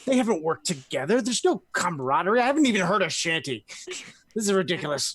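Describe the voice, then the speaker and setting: A quiet, rumbling put-on character voice speaks at a fairly high pitch and moderate pace with very wide pitch swings. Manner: loud grumbling, complaining.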